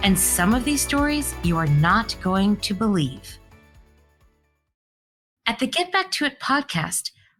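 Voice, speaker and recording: Music plays in the background as a woman speaks at a fairly slow pace, with long, frequent pauses. Her loudness stays very even. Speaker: podcast host, foundation CEO. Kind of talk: podcast interview.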